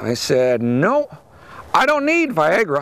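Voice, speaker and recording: His pitch swings very widely as the man speaks. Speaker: farmer and stand-up comedian. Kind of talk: stand-up comedy set with farm humour.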